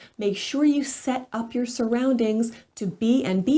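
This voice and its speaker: Speaking at a moderate pace, a woman with a fairly high pitch has a dark, mellow, somewhat breathy tone on a very clean recording with a silent background. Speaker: executive voice coach. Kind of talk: casual talk to camera.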